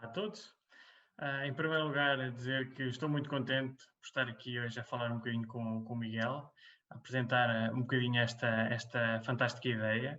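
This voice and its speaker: A man talks in a normal speaking voice at a fairly quick pace, with medium pitch and fairly even intonation. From central Portugal, Águeda. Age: 30s. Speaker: environmental engineer, webcast co-host. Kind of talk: casual webcast conversation. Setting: webcast.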